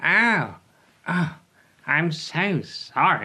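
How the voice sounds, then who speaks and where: A put-on character voice at a middle pitch. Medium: read story.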